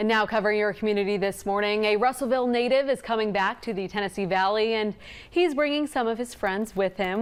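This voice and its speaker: A woman with a plain, everyday voice and a fairly high pitch talks at a fairly quick pace with lively intonation. The recording is very clean, with a silent background. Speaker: TV news anchor and reporter. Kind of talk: TV news anchor delivery.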